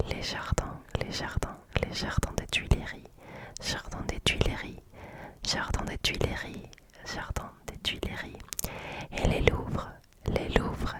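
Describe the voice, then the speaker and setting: Very slow whispering from a woman, broken by long, frequent pauses, over noticeable background noise. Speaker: ASMR content creator. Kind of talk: ASMR trigger words, repeated place names.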